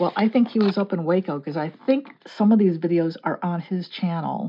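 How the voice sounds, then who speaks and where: This woman's voice sits fairly low, with a slight Texan accent. Her pitch varies in an ordinary way. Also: moderate pace. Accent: slight Texan creeping in. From US Midwest, Chicago area. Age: 60s. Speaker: mixed media artist and card reader. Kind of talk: casual chat during art tutorial.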